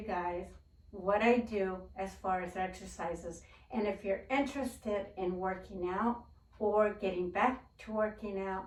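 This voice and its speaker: A woman's medium-pitched voice at a very slow pace, with ordinary pitch variation. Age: 60s. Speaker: gardening and DIY YouTuber. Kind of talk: casual talk to camera.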